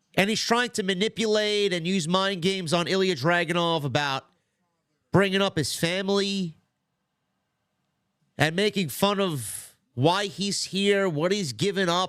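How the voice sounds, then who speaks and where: On a very clean recording with a silent background, a man with a high pitch talks in an animated tone with ordinary pitch variation, at a fairly slow pace with long, frequent pauses. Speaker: streamer doing wrestling watch-along. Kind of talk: casual live commentary. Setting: livestream. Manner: casual, animated.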